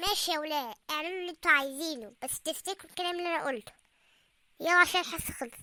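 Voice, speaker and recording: High in pitch and very fast, a cartoonish character voice rattles along. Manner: friendly, ironic.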